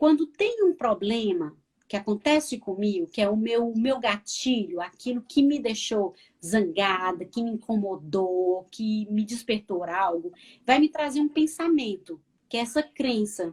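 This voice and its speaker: With a fairly high, somewhat breathy voice, a woman speaks at a fairly slow pace with lively intonation. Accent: northeastern Brazilian. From Northeast Brazil. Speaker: counselor. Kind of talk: live interview chat.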